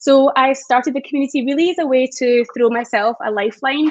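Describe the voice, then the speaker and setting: With a Scottish accent, the speaker moves at a fairly quick pace with ordinary pitch variation, recorded dry and close with no echo. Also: woman. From Scotland. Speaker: community founder. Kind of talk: panel discussion.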